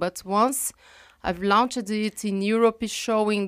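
A woman with a Brazilian Portuguese accent speaks at medium pitch in a very clean recording with a silent background and a dry, close sound with no echo. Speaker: professor and geographer. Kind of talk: interview. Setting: studio. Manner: halting, with frequent fillers.

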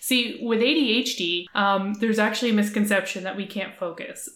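A woman's fairly high, unremarkable speaking voice with a Canadian accent, fairly even intonation and a moderate pace. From Atlantic Canada. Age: 30s. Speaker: entrepreneur. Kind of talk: casual interview chat.

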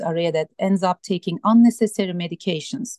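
A woman's dark, mellow tone with a Turkish accent, at a moderate pace, in a dry, close sound with no echo. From Turkey. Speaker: sleep medicine doctor. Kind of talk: radio interview.

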